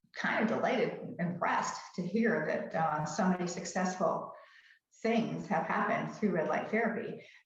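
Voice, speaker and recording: Room echo is audible as a woman speaks at a moderate pace with very even loudness. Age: 70s. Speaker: skincare video guest, host's mother. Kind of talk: casual chat. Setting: live stream. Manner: halting, many fillers and restarts.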